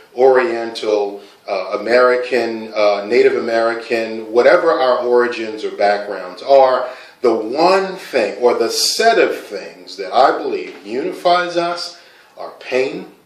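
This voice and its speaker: Noticeable background noise sits under the recording. A man speaks at a fairly slow pace. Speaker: poet. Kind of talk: casual talk to camera explaining a poem.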